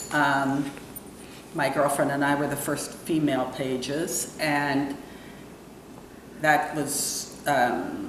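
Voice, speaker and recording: A voice with an American accent speaks in a flat monotone at a very slow pace, with long, frequent pauses. Audible room echo and noticeable background noise fill the recording. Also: woman, very deep, low pitch for a woman. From New York area, US. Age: 60s. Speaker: entrepreneur and real estate broker. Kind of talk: interview. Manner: hesitant, with many fillers.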